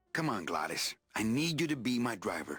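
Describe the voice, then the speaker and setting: With music in the background, a man puts on a character voice at a medium pitch and a fairly quick pace. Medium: video game. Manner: dry, laconic.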